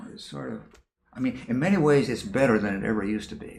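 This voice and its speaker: There is audible room echo. The man's voice shows vocal fry. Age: 80s+. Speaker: professor. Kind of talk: interview. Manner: halting.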